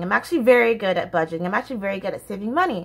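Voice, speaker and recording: A woman with an American accent, her tone bright and sharp, her pitch swinging very widely. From United States. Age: 20s. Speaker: YouTuber. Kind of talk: casual vlog monologue. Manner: animated, laughs often. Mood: candid, passionate. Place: home room. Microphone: phone near.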